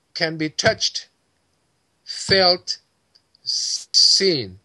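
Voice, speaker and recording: With a French accent, a man speaks at a high pitch with a bright, sharp tone. The background is quiet. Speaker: esoteric teacher. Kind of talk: interview, spiritual explanation. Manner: halting, searching for words. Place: home room. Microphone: video call.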